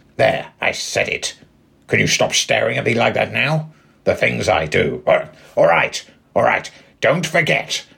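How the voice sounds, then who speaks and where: Long pauses come often as this man talks. His pace is fairly slow. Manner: grudging, sulky, sardonic.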